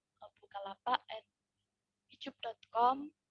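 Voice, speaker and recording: Soft-spoken and fairly high-pitched, a woman talks at a fairly slow pace. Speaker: summer course participant. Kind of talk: group presentation. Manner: halting. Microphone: too quiet.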